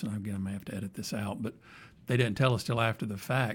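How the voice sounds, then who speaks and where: A man speaks with an American accent at medium pitch, with ordinary pitch variation. His voice is somewhat breathy. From Alabama, US South. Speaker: podcast host, IT executive. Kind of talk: casual interview chat. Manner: halting, many fillers and repeats.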